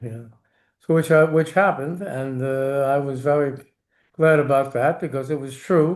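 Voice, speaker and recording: At a moderate pace, a man with a New York accent talks at a fairly high pitch and with fairly even intonation. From New York City. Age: 80s+. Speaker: war veteran. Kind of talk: interview. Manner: halting.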